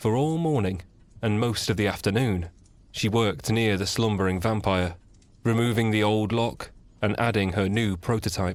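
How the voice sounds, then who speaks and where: A man with a plain, everyday voice talks at a fairly low pitch and a moderate pace, with ordinary pitch variation and very even loudness, in a very clean recording with a silent background. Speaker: narrator. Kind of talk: audiobook-style reading of fantasy story. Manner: calm, relaxing.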